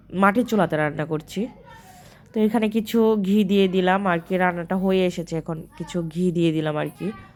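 The intonation is fairly even throughout. Noticeable background noise runs under the speech. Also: woman, medium pitch for a woman. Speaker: vlogger. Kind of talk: cooking vlog narration.

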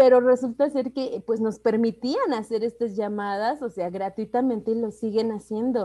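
A woman speaks at a moderate pace in a fairly high pitch, with a dark, mellow tone and fairly even intonation. There are hardly any pauses, and the background is quiet. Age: 30s. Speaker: network marketing entrepreneur; presenter. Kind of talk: sales pitch. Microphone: video call.

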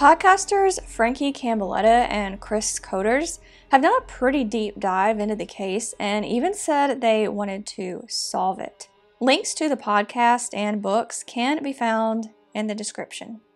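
A woman talks fairly slowly while faint music can be heard behind her. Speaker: true crime narrator. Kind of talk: narrated commentary on a missing persons case. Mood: calm, serious. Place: home room. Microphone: lapel.

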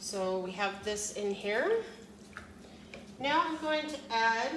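Audible room echo surrounds a woman's voice. Her tone is fairly bright, with ordinary pitch variation.

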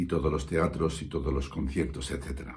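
There is vocal fry in this man's voice. The background is quiet. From Spain (Valencia); Spain. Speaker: musician; coach. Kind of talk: testimonial. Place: studio. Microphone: phone near.

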